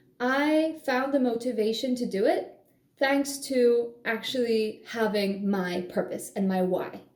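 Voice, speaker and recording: Audible room echo surrounds the voice. A woman speaks with ordinary pitch variation. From Poland. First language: Polish. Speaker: language-learning vlogger. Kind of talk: casual vlog monologue. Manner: animated.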